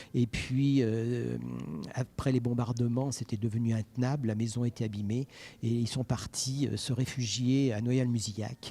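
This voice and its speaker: Somewhat breathy, dark and mellow speech from a man at medium pitch, monotone and flat, at a fairly slow pace, on a very clean recording with a silent background. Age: 60s. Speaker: private collector, son of a WWI veteran. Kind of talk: on-site interview. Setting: exhibition gallery.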